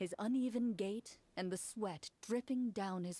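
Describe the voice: A plain reading-aloud voice. The pitch rises and falls in an ordinary way.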